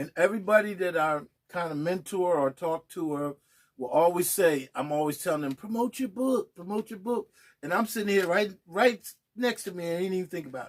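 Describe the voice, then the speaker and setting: Loud and at a fairly quick pace, a man speaks with a high pitch and ordinary pitch variation. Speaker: poet and author. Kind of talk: casual interview.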